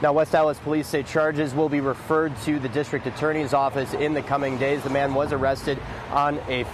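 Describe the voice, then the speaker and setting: A man speaks at a fairly quick pace with a monotone, flat intonation. The sound is dry with no echo, and there is noticeable background noise. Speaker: TV news reporter. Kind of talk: live news report. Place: street.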